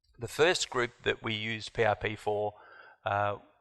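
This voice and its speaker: Against a quiet background, a man with an Australian accent speaks at a fairly low pitch, with a bright, sharp tone and fairly even intonation. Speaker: doctor. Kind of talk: conference talk.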